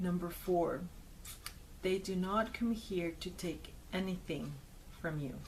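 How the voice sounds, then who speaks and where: At a fairly slow pace, a woman speaks in a somewhat breathy voice of medium pitch with fairly even intonation. Long, frequent pauses break up her speech, and audible room echo surrounds it. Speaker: video blogger. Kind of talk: personal commentary to camera.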